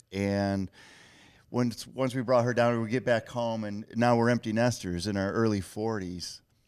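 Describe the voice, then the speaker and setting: A man with a normal speaking voice talks at a moderate pace in a medium pitch, his intonation fairly even, on a very clean recording with a silent background. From Michigan. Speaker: pro-life ministry leader. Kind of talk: interview testimony.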